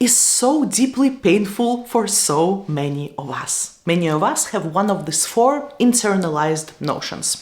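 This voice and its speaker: A woman with a Russian accent at a medium pitch, her voice swinging very widely in pitch, at a fairly slow pace, with noticeable background noise and audible room echo. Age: 30s. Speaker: YouTuber and tech manager. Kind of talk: lecture.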